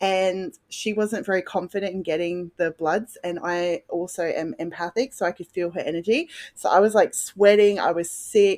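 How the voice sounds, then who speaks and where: In an Australian accent, a woman at medium pitch talks at a moderate pace with hardly any pauses and ordinary pitch variation, the sound dry and close with no echo. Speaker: podcast guest, mother. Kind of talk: personal testimony.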